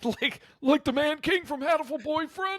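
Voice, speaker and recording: Using a put-on character voice, a man sounds gruff at an extremely high pitch while keeping a moderate pace. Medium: actual play. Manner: gruff, laconic.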